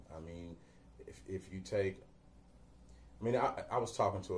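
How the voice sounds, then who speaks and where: Speaking at a moderate pace, a man with an American accent has a very deep, low pitch and a somewhat breathy voice. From Cincinnati, Ohio, USA. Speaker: singer and entertainer. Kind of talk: interview answer.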